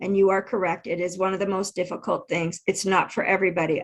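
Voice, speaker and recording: Her pitch sits in the mid range. The woman's delivery stays flat and monotone. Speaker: intuitive and keynote speaker. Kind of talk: interview. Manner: halting, loses place mid-sentence.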